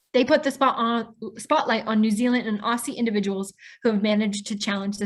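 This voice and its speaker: Against a quiet background, a woman with a Midwestern American accent speaks at a fairly high pitch, somewhat breathy and with fairly even intonation. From US Midwest, Pontiac, Illinois. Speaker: webinar host. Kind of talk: scripted introduction.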